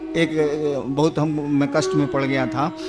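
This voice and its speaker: Over music in the background and audible room echo, a man speaks with a Bihari accent. His fairly high voice shows ordinary pitch variation. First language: Bhojpuri (speaking Hindi). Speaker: spiritual guru. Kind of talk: religious discourse.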